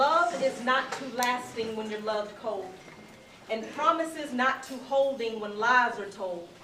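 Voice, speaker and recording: A woman with a high-pitched voice and ordinary pitch variation is heard over noticeable background noise. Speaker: spoken word poet. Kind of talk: live spoken word poetry performance. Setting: live venue with audience.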